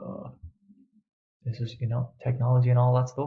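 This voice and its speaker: A man's dark, mellow voice, somewhat breathy. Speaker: online coach. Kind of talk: webinar presentation. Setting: pre-recorded online event. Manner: fast; energetic.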